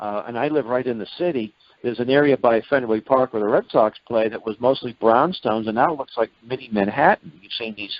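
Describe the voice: Medium-pitched man at a fairly quick pace, lively intonation, and a dry, close sound with no echo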